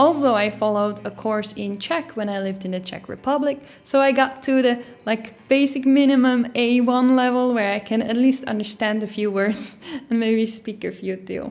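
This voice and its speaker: A woman with a Dutch accent speaks at a moderate pace, fairly high in pitch, with ordinary pitch variation. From Netherlands. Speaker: YouTuber. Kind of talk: casual vlog.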